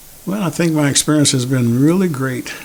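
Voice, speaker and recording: A man speaks with an American accent at a moderate pace, his intonation lively. Noticeable background noise sits behind him. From United States. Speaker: army veteran, clinic patient. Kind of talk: testimony. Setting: virtual fundraiser video.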